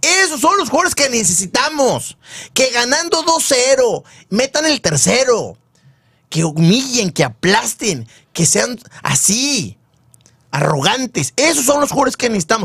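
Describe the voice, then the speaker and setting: A man speaks at a fairly slow pace at an extremely high pitch, with very wide pitch swings and long, frequent pauses. The sound is dry, with no echo, over a quiet background. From Nuevo León, Mexico. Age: 40s. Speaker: sports show host. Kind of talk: casual sports talk show. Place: studio. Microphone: studio mic.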